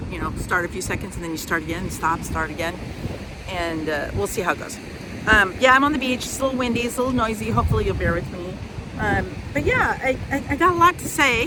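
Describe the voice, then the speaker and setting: A woman with an American accent, fairly high-pitched, very fast, with very wide pitch swings, audible room echo and noticeable background noise. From US Midwest. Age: 60s. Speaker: vlogger. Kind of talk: casual vlog talk. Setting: outdoors at the beach. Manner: hesitant, many fillers.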